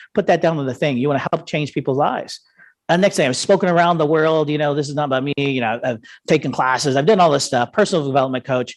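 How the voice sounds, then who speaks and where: Speaking very fast in a passionate tone, a man with an American accent and a fairly high pitch shows ordinary pitch variation against a quiet background. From United States. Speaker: investment educator and coach. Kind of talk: seminar presentation. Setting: live event streamed on Zoom. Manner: fast, passionate.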